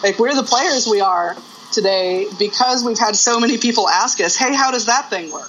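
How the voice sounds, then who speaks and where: Noticeable background noise under a woman's moderately paced speech at a fairly high pitch. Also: ordinary pitch variation. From Albuquerque, New Mexico. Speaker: guitar teacher. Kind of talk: interview.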